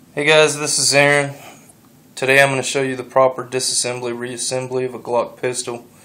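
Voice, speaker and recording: Noticeable background noise surrounds a man speaking at a fairly quick pace. His medium-pitched voice stays monotone and flat. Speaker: gun enthusiast youtuber. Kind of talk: tutorial. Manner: halting, pauses a lot.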